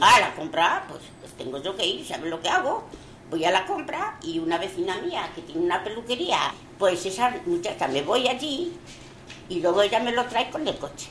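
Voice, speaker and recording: A woman speaks at a fairly high pitch and a moderate pace, her voice swinging very widely in pitch and greatly in loudness. Noticeable background noise and audible room echo are present. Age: 80s+. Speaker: elderly resident interviewed. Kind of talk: recorded testimony.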